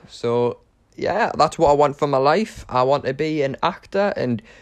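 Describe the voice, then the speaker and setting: Over a quiet background, a man speaks in a fairly high voice. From northern England, Newcastle upon Tyne. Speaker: podcast host, acting student. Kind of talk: casual monologue. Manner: hesitant, many fillers.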